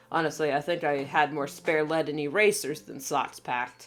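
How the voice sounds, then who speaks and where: Music plays behind a woman with a very deep, low pitch. She talks at a moderate pace. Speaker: writer and artist. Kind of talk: video essay narration. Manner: casual, chatty.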